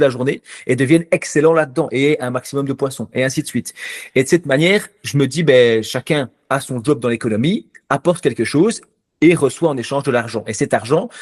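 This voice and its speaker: Against a quiet background in a dry, close sound with no echo, a man with an ordinary speaking voice talks at a fairly quick pace, with fairly high pitch and ordinary pitch variation. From Belgium. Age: 30s. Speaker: finance YouTuber and stock investor. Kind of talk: interview answers, casual explanatory.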